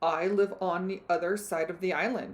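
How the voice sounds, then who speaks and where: A woman's put-on character voice at medium pitch and a moderate pace. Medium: read story. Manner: slow, admonishing.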